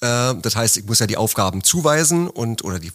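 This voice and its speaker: This man talks very fast in a fairly low voice, his intonation lively. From Berlin, Germany. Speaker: office manager at a pump manufacturer. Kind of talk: interview. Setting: studio, sitting across from host.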